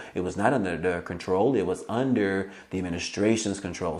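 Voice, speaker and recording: A man with a fairly low voice talks in a room with audible echo. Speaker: YouTube news commentator. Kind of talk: casual video commentary. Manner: fast; filler-heavy, informal.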